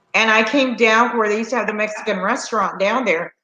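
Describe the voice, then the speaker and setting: Talking at a very fast pace, a woman uses an animated tone and a fairly high pitch. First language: Spanish. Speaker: slot channel host. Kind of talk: casual chat. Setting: live stream.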